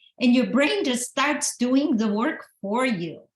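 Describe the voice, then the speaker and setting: The woman's voice is somewhat breathy. She talks at a fairly slow pace. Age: 60s. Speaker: author and motivational speaker. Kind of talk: motivational talk. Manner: animated.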